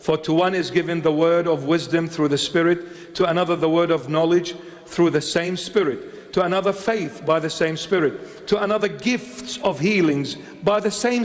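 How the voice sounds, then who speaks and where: With hardly any pauses, a man speaks at a moderate pace and a high pitch, with ordinary pitch variation over noticeable background noise. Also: very even loudness. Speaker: bishop, preacher. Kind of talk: sermon delivered to a congregation.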